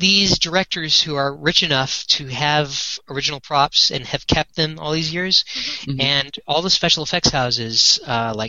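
A man with a plain, everyday voice, fairly high in pitch, at a fairly slow pace with ordinary pitch variation. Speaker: Star Trek set collector and fan project founder. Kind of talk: casual interview chat.

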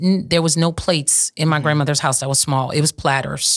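A woman in a south Louisiana accent, very deep and low in pitch with fairly even intonation, on a very clean recording with a silent background. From south Louisiana, St. Martin Parish. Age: 50s. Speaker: restaurant owner. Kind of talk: casual interview. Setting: studio.

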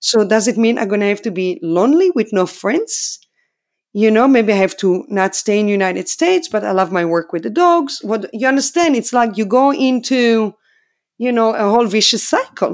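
With an Israeli accent, a woman speaks at a fairly high pitch in very wide pitch swings. The recording is very clean, the background silent. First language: Hebrew. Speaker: dog trainer. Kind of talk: interview. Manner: animated.

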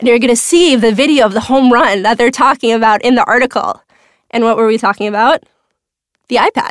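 A woman with an American accent talks at a fairly quick pace in a fairly high voice with fairly even intonation, the sound dry and close with no echo. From Minnesota. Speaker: venture capitalist. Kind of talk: interview.

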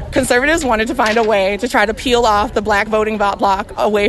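A woman with an American accent talks in a fairly high pitch and an animated tone. Music plays in the background. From US South, Mississippi. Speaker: reproductive rights activist. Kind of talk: interview; rally speech. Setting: outdoor rally.

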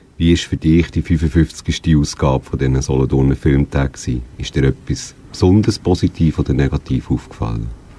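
Noticeable background noise sits behind a man with a very deep, low voice and ordinary pitch variation. He speaks at a moderate pace with hardly any pauses. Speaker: radio host. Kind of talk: radio magazine presenting and interviewing.

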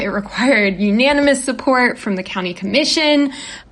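Lively intonation from a woman amid noticeable background noise. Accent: American. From West Virginia, US. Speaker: journalist. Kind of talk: interview. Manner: halting, many fillers and repeats.

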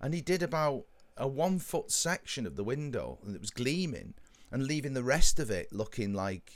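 A man with vocal fry speaks with very wide pitch swings. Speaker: podcast co-host. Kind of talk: casual chat.

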